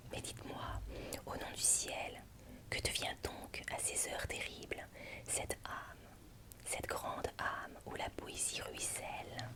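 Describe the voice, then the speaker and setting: A woman whispers at a very slow pace with noticeable background noise behind her. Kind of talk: literary reading of a passionate letter from a lover. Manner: whispered, soft, slow.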